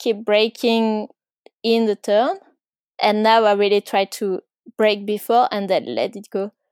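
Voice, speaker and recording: A woman with a French accent speaks at a fairly slow pace. The sound is dry and close, with no echo. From France, Ardèche. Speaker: mountain bike racer. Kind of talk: interview. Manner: hesitant, many fillers.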